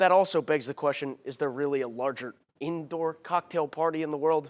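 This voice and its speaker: Over music in the background, a man speaks loudly at a fairly quick pace with a passionate, energetic tone. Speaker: TV sports anchor and reporter. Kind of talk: TV sports anchor reel. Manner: passionate, loud, energetic.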